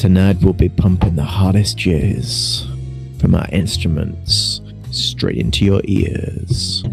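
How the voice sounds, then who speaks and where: Over loud music in the background, a man uses a put-on character voice with a very deep, low pitch, speaking at a fairly slow pace. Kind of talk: tabletop game narration.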